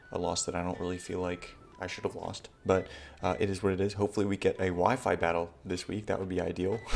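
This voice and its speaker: Through noticeable background noise, a man with a very deep, low pitch talks at a very fast pace in a monotone, flat delivery. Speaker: competitive gaming youtuber. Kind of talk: gameplay commentary. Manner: casual, halting with self-corrections.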